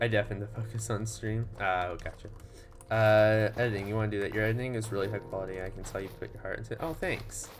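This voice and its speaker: Music plays in the background as a man talks at a very fast pace with audible room echo. His pitch is fairly low and his intonation fairly even. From Texas. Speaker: gaming streamer. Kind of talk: casual chat. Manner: hesitant, many fillers.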